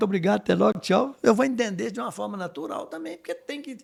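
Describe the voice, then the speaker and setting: The recording is very clean and the background silent. A man talks very fast. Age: 60s. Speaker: business executive. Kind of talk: podcast interview.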